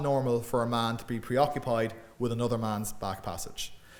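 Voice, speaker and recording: In an Irish Midlands accent, a man speaks with audible room echo around him. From Ireland, Midlands. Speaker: academic lecturer and author. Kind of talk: public lecture. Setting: lecture room with audience.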